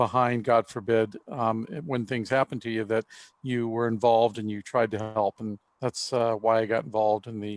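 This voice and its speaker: A man's medium-pitched voice at a moderate pace, with a dry, close sound and no echo. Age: 60s. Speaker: real estate broker and instructor. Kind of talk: panel discussion. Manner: halting, many fillers.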